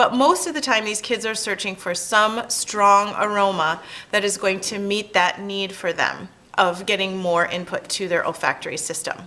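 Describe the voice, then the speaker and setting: Noticeable background noise sits behind a woman speaking at a moderate pace. Her pitch variation is ordinary. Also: medium pitch for a woman. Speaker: sensory education presenter. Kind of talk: tutorial.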